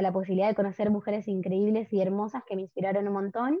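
With a Rioplatense accent, a woman speaks at a very fast pace in a fairly high pitch. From Argentina, Buenos Aires. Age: 20s. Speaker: workshop facilitator on menstrual cycles. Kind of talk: podcast interview.

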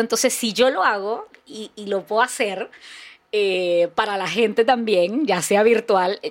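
In a normal speaking voice, a woman goes at a fairly slow pace, fairly high in pitch with ordinary pitch variation. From Venezuela, Barquisimeto. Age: 40s. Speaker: content creator and comedian. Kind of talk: casual interview chat.

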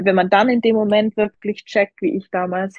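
A woman with an unremarkable speaking voice speaks at a moderate pace and fairly even intonation. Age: 20s. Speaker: professional figure athlete. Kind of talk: casual interview.

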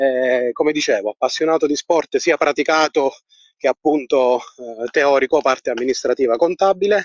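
The voice keeps a very even loudness, with ordinary pitch variation and a moderate pace. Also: man, fairly high pitch for a man. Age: 50s. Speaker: accountant. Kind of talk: voice message. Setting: outdoors, walking.

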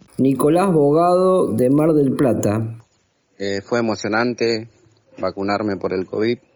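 A man speaks at a fairly slow pace with lively intonation. His pitch sits in the medium range. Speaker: radio host. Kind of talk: radio interview. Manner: halting, repeats words.

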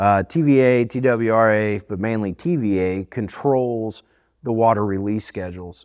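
A man's fairly low voice in a Southern US accent, with ordinary pitch variation, in a very clean recording against a silent background. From US South, southern Alabama (Fairhope, Mobile Bay). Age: 30s. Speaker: fishing guide. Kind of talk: casual interview.

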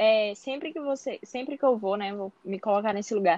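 This woman talks at a fairly quick pace with ordinary pitch variation. Her voice sounds dry and close with no echo, against a quiet background. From interior of Bahia, Brazil. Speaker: medical student. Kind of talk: interview.

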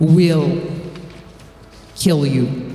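A booming, put-on character voice sits at a middle pitch and moves at a very slow pace. A clear echo follows it. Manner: commanding, threatening.

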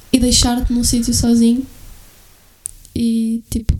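Soft-spoken and fairly high in pitch, a woman talks with a European Portuguese accent. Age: 20s. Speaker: podcast guest. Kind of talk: casual chat.

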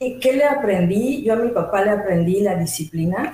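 The woman's intonation is lively and her pace moderate. Noticeable background noise is present. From Mexico City. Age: 50s. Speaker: labor lawyer and business owner. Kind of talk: interview. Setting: studio.

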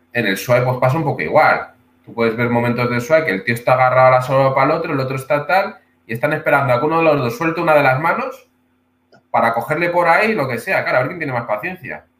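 Medium in pitch with ordinary pitch variation, a man talks at a very fast pace. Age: 30s. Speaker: martial arts instructor. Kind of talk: casual interview.

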